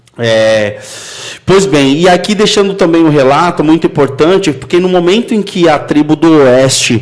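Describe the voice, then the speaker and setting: Fairly high pitch from a man at a moderate pace, with noticeable background noise. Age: 30s. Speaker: podcast host. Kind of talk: casual chat.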